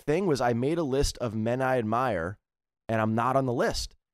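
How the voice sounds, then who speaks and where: At a moderate pace and medium pitch, a man with an American accent speaks with lively intonation, in a dry, close sound with no echo. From US East Coast. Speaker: comedian and motivational speaker. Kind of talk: casual chat. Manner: animated.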